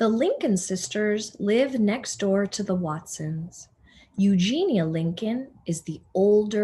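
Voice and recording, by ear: The recording captures reading aloud in a natural voice.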